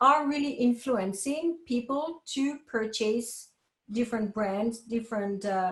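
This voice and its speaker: A woman's fairly high voice with ordinary pitch variation, fairly slow, with audible room echo. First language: French. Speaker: professor. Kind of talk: lecture.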